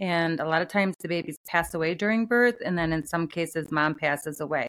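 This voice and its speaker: A woman speaks in a plain, everyday voice at a moderate pace, her fairly low pitch moving with ordinary variation. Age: 40s. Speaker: attorney and author. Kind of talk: interview.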